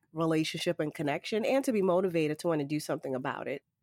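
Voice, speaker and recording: A woman with an American accent talks in an ordinary speaking voice, fairly low in pitch with ordinary pitch variation. The recording is very clean, the background silent. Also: dry, close sound with no echo. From Boston, US. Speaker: consultant and former city resilience officer. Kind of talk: interview conversation.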